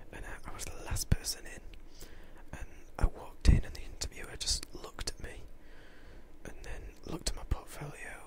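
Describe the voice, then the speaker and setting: Whispering at a fairly quick pace, the speaker shows big swings in loudness and long, frequent pauses. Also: man. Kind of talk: casual talk to camera. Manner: casual, chatty, rambling.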